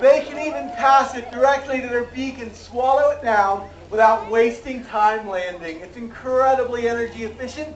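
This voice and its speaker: A man with an extremely high pitch and ordinary pitch variation talks amid noticeable background noise and audible room echo. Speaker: zoo bird show presenter. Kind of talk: live animal show presentation. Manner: animated.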